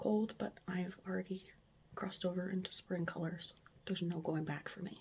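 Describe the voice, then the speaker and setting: A somewhat breathy woman's voice, fairly low in pitch, at a moderate pace with fairly even intonation. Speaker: lifestyle vlogger. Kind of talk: casual vlog chat. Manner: conversational, chatty.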